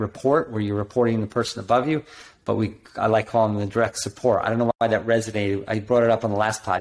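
This is a man talking. He speaks at a fairly low pitch. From New Jersey. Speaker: doctor and business coach. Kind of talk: casual business chat. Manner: animated.

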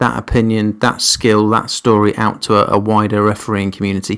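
A man speaks with an English accent. His pitch is medium and his pace moderate. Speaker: rugby referee and podcast host. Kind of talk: podcast introduction, scripted-style monologue.

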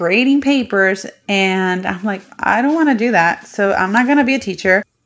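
A woman with a Puerto Rican accent at a moderate pace. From Puerto Rico. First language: Spanish. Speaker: podcast host. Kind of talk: casual monologue.

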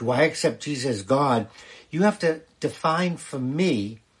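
Against a quiet background, a man speaks somewhat breathily at a fairly slow pace. His fairly high voice has lively intonation. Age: 70s. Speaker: rabbi. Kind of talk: livestream Q&A talk. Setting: live stream on TikTok. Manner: conversational, with fillers.

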